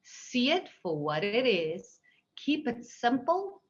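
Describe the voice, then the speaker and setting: The woman talks at a very slow pace. There is a somewhat breathy quality to her voice. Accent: strong South African. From South Africa. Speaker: seed industry executive. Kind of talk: panel Q&A.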